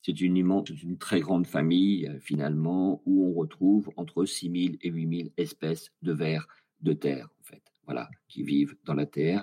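With a dark, mellow tone and a very deep, low pitch, a man speaks at a moderate pace with ordinary pitch variation and big swings in loudness. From France, rural farm. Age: 60s. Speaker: author and scientist. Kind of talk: casual interview. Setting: online voice call.

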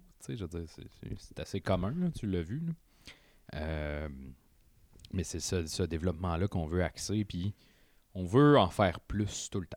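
A man speaks very slowly in a very deep, low voice with ordinary pitch variation and long, frequent pauses. The recording is very clean with a silent background. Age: 20s. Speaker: media entrepreneur. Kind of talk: casual chat. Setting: studio.

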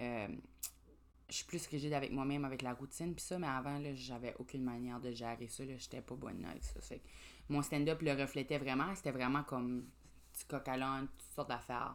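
Fairly even intonation is paired with vocal fry. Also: woman, very deep, low pitch for a woman. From New Brunswick, Grand Falls (Acadian French). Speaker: comedian. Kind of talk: casual chat.

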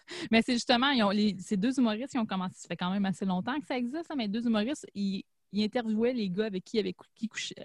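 Speaking at a very fast pace in a Quebec accent, a woman with a fairly high, somewhat breathy voice uses ordinary pitch variation and big swings in loudness, recorded with a dry, close sound and no echo. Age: 30s. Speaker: podcast host. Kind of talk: casual chat.

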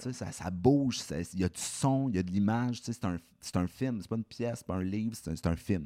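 In a dry, close sound with no echo, a man with an ordinary speaking voice and a fairly low pitch talks at a moderate pace with lively intonation. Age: 20s. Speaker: film director and screenwriter. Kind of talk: casual podcast interview.

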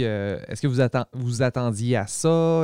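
The man's voice sits at a medium pitch with a dark, mellow tone and a moderate pace. The recording is very clean with a silent background and a dry, close sound with no echo. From Quebec, Saguenay–Lac-Saint-Jean. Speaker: podcast host. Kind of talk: casual interview. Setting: studio.

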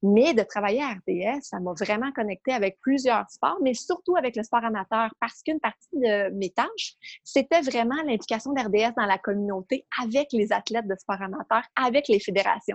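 Fairly high-pitched with an unremarkable speaking voice, a woman talks at a moderate pace with lively intonation and hardly any pauses, in a dry, close sound with no echo. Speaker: sports administrator. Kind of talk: casual interview.

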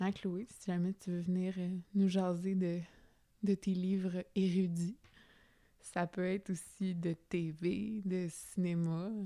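In a Quebec accent, a woman speaks very slowly with long, frequent pauses. Her tone is dark and mellow, her intonation monotone and flat. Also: medium pitch for a woman. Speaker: podcast host. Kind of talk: casual monologue. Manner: spontaneous, hesitant.

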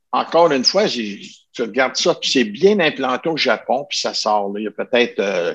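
A man's voice at a fairly slow pace with very wide pitch swings, dry and close with no echo. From Ottawa region, Canada. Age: 70s. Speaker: martial arts master. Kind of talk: interview.

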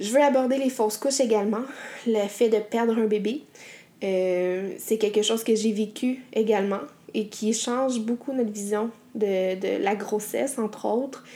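With a Quebec accent, a woman speaks fairly slowly in a fairly high voice, her intonation fairly even. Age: 30s. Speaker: podcast host. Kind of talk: solo podcast monologue.

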